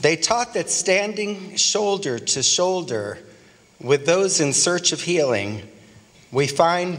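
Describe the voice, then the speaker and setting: Solemn in tone, at a very slow pace. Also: man. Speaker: clergy leading a prayer. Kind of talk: invocation blessing at a dinner, fervent prayer. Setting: banquet dinner in Washington, D.C. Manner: solemn, rhythmic, earnest cadence with repeated phrases. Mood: solemn, hopeful. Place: hall. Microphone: podium.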